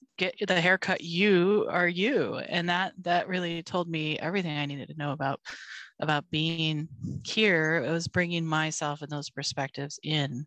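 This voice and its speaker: In a plain, everyday voice, the speaker keeps a moderate pace and fairly even intonation, with a dry, close sound with no echo and a quiet background. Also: woman, fairly low pitch for a woman. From Argentina and the US. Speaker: consultant with a doctorate. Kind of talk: casual chat.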